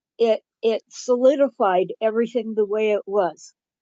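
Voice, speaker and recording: Her pace very slow, a woman talks with ordinary pitch variation. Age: 70s. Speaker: webinar participant asking a question. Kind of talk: question in webinar Q&A. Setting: online webinar. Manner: halting, with many fillers.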